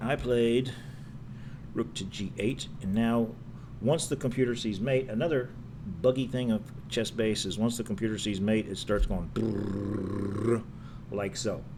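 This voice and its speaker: There is audible room echo as a man talks at a medium pitch and a fairly slow pace, with ordinary pitch variation. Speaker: chess streamer. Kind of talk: live stream commentary. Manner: mumbling; casual, rambling.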